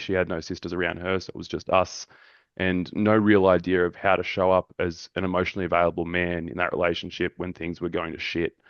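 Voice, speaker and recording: A man with a very deep, low pitch races along at a very fast pace. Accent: Australian. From Australia. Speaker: men's mental health group facilitator. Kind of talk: podcast interview.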